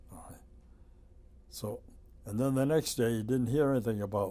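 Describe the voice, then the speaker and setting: The tone is dark and mellow, with ordinary pitch variation. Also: man. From United States. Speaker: WWII veteran, former prisoner of war. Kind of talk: oral history interview answer. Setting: museum interview. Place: office.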